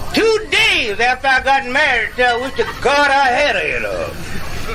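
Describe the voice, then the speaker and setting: Over noticeable background noise, a man with an American accent uses a raised, projected voice at an extremely high pitch and a fairly slow pace. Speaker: medicine show comedian and blues harmonica player. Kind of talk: comic stage monologue. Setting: outdoors.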